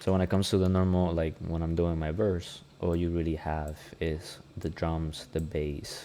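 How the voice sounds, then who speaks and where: In a Spanish accent, a man speaks at a moderate pace with a very deep, low pitch, a dark, mellow and relaxed tone, and monotone, flat intonation. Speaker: music producer and rapper. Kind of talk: tutorial. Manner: casual, relaxed.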